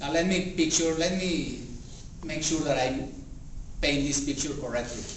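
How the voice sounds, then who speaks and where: Fairly high-pitched man at a moderate pace, fairly even intonation, long, frequent pauses, audible room echo and noticeable background noise. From Mexico. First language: Spanish. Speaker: public speaking club member. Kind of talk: speech.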